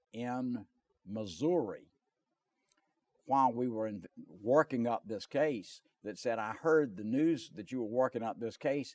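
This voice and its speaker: Speaking in a Southern US accent, a man uses a medium pitch and lively intonation. The sound is dry and close with no echo. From North and South Carolina. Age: 70s. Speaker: lawyer. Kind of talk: interview.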